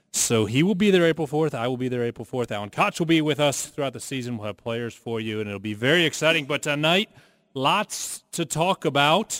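A man with a normal speaking voice talks at a fairly quick pace and fairly high pitch, his intonation lively, in a dry, close sound with no echo. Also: very clean recording, silent background. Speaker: radio host and play-by-play announcer. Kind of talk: radio interview show. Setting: studio.

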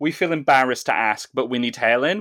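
A man's medium-pitched voice at a very fast pace, dry and close with no echo, in a very clean recording over a silent background. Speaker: podcast host. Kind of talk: casual chat.

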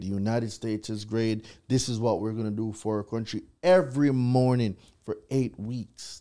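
His dark, mellow tone sits at a medium pitch as the man talks at a moderate pace. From Jamaica. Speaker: consumer credit law expert. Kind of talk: live podcast interview.

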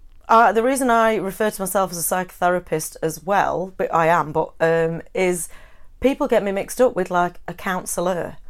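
On a very clean recording with a silent background, a woman with an unremarkable speaking voice talks at a moderate pace at medium pitch, with ordinary pitch variation and big swings in loudness. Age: 40s. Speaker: counsellor and psychotherapist. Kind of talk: interview conversation.

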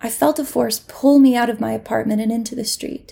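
A woman speaks at a fairly high pitch with vocal fry. Her tone is dark and mellow, and her pace moderate. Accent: American. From US South, Mississippi. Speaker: actor and comedian, storyteller. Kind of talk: personal storytelling.

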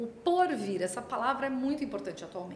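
A woman's pitch swings very widely as she speaks. Noticeable background noise and audible room echo fill the recording. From Brazil, Santos (São Paulo coast). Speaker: pharma consultancy CEO. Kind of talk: interview conversation.

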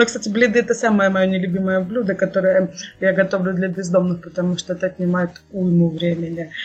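A plain, everyday voice at a fairly quick pace, with fairly even intonation. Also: woman, medium pitch for a woman. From Russia, Kursk region. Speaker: charity volunteer organizer. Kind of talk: podcast interview. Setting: video call.

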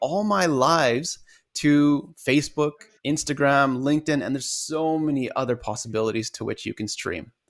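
On a very clean recording with a silent background, a man with a plain, everyday voice talks at a fairly high pitch and a moderate pace. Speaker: podcast host and life coach. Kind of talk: casual interview.

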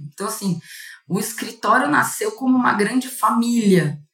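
A woman's voice with lively intonation. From interior of São Paulo state, Brazil. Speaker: corporate lawyer. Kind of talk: casual interview.

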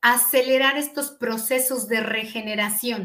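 A woman with a central Mexican accent and a high pitch speaks at a fairly slow pace. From Mexico, eastern State of Mexico. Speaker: physician. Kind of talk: interview. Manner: hesitant fillers.

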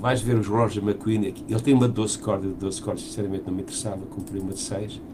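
A man speaks at a fairly quick pace in a fairly low voice, with fairly even intonation. There is audible room echo and noticeable background noise. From Portugal. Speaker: musician and podcast co-host. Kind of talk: casual chat.

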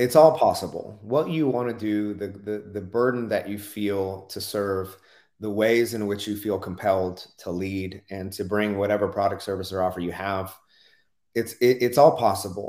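An ordinary speaking voice from a man with an American accent, fairly low in pitch, with ordinary pitch variation at a moderate pace. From US South, rural Oklahoma. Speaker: business coach, former pastor. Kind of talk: interview.

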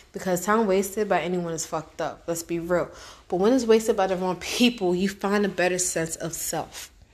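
A woman speaks in a plain, everyday voice at a medium pitch. She keeps a moderate pace with ordinary pitch variation. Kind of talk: motivational spoken-word monologue, reflective and advice-giving. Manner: earnest, conversational, street-smart, direct; reflective, heartfelt, with rhetorical questions and occasional laughs.

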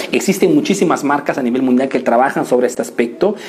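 Lively intonation over noticeable background noise. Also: man. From Italy, Peruvian family. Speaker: business coach. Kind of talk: live stream business tutorial. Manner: animated.

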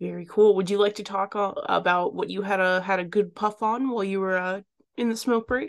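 Her intonation fairly even, a woman talks at a fairly quick pace in a normal speaking voice at a medium pitch. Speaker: podcast host and cannabis reviewer. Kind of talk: casual chat.

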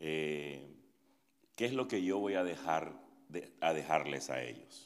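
A man speaks with a very deep, low pitch and vocal fry. The room echo is audible. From Nicaragua. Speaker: pastor. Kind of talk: interactive workshop talk. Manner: halting.

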